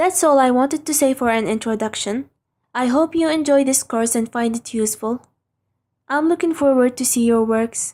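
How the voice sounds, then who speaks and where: In a non-native accent, a woman speaks at a moderate pace with a high pitch and ordinary pitch variation on a very clean recording with a silent background. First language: not English. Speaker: online drawing instructor. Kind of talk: tutorial. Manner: scripted, careful.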